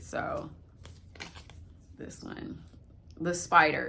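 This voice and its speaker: A woman speaks with audible room echo. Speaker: spirituality vlogger. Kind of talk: casual vlog.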